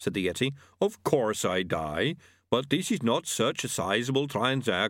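An unforced reading voice carries the whole clip.

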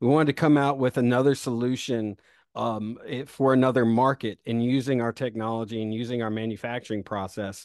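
A man's normal speaking voice with an American accent, medium in pitch, at a fairly quick pace against a quiet background. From South Carolina, US South. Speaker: startup founder and CEO. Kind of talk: interview.

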